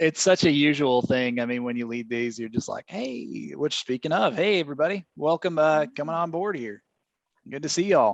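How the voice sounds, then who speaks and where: Man with a Southern US accent, fairly high pitch, lively intonation and moderate pace, dry and close with no echo, against a quiet background. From Maine, from a Southern household. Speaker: webinar host. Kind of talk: casual chat.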